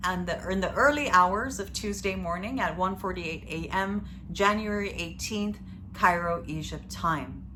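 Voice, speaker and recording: A woman talks at a moderate pace, and room echo can be heard. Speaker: astrologer. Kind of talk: astrology video monologue. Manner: hesitant, many fillers.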